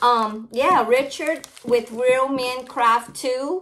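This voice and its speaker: High pitch and ordinary pitch variation in a woman's voice. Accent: American. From Louisiana, Cajun. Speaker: crafting YouTuber. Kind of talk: casual unboxing vlog. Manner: chatty, rambling talk. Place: home room. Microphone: phone near.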